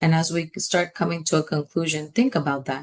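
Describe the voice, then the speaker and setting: A woman speaks at a moderate pace with a fairly low pitch. Her pitch variation is ordinary. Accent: Spanish. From New York City (Washington Heights, Manhattan). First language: Spanish. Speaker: education advocate. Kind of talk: webinar presentation. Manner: impassioned.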